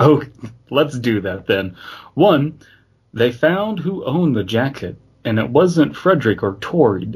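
At a fairly slow pace, a somewhat breathy man speaks with very wide pitch swings and long, frequent pauses. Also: medium pitch for a man. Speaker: podcast host. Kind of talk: casual comedic chat. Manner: jokey, laughs often.

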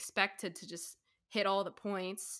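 A woman talks in an unremarkable speaking voice, her pitch medium and her pace moderate, on a very clean recording with a silent background. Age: 20s. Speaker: college student. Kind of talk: casual chat.

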